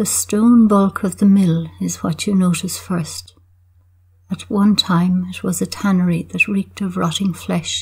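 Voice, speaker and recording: Speaking at a fairly slow pace, a woman talks with an Irish accent. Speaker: poet. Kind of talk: poetry reading, measured and wry, with the dry humour of a village observer. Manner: deadpan; measured, reflective.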